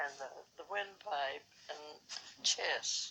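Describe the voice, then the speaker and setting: This woman has a bright, sharp tone and a fairly low pitch. She speaks with a Southern US accent. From Alabama. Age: 80s+. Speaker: pandemic survivor. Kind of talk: interview answer.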